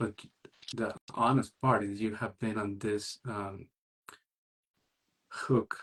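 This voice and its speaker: A somewhat breathy man at a medium pitch with a non-native accent and fairly even intonation, in a dry, close sound with no echo. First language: not English. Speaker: single parenting coach. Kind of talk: interview conversation.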